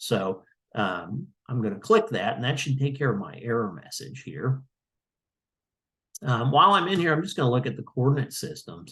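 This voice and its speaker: Showing vocal fry and a bright, sharp tone, a man speaks at a moderate pace with very wide pitch swings against a quiet background. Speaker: GIS trainer. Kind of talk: tutorial. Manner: halting, many fillers; mumbling.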